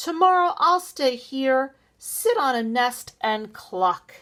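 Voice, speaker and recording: A loud, shrill put-on character voice from a woman, high-pitched with very wide pitch swings, at a very slow pace. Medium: read story.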